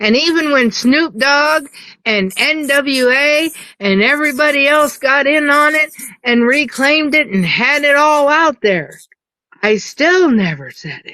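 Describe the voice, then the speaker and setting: A woman with a high pitch and a bright, sharp tone uses a raised, projected voice at a fairly slow pace with ordinary pitch variation. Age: 50s. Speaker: TikTok live participant. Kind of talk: casual chat. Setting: live stream.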